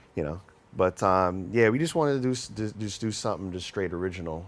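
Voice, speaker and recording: A man with a New York accent talks at a very fast pace in a fairly low pitch with lively intonation. Noticeable background noise is present. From New York, Mount Vernon. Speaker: musician. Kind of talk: interview.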